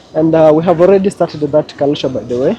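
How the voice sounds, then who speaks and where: A man with a Kenyan accent speaks at a high pitch with ordinary pitch variation. Noticeable background noise runs behind him. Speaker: travel vlogger. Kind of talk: casual vlog narration. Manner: animated.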